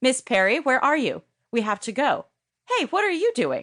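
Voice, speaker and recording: Shouting in a shrill, put-on character voice, a female-sounding voice speaks at a high pitch and a moderate pace. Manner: shouting, urgent.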